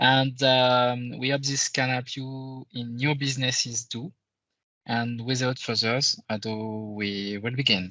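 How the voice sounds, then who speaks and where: Talking at a fairly slow pace, a man with a French accent keeps his intonation fairly even. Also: medium pitch for a man. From France. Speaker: conference presenter, IT consultant. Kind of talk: conference presentation. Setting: virtual conference, screen sharing. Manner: halting, many fillers.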